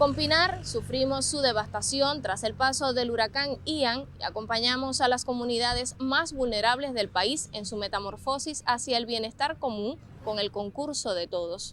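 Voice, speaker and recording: A woman's high voice at a moderate pace, with ordinary pitch variation and hardly any pauses. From Cuba. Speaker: TV reporter. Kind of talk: TV news report narration.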